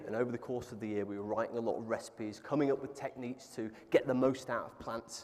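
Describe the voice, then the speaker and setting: A man with a southern English accent at a very fast pace. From England. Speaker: plant-based food entrepreneur. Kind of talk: panel interview. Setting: stage with audience.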